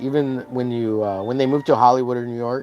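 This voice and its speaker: Music plays in the background as a man speaks at a moderate pace, his pitch medium. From Texas. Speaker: art streamer. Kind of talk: casual live-stream chat. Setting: live stream. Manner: chatty, many fillers.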